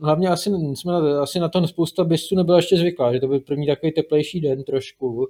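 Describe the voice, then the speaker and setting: A man's dark, mellow voice, fairly high in pitch, moves at a moderate pace with fairly even intonation in a very clean recording with a silent background. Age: 30s. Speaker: marathon runner and programmer. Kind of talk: interview. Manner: halting, many fillers.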